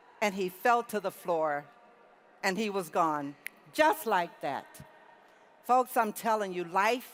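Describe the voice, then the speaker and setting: Long, frequent pauses break up very slow speech delivered with lively intonation. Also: woman. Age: 60s. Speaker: convention speaker. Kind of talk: motivational speech.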